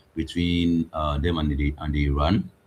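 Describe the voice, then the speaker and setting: Through noticeable background noise, a man speaks fairly slowly with a very deep, low pitch. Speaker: trading analyst. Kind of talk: live trading stream. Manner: halting.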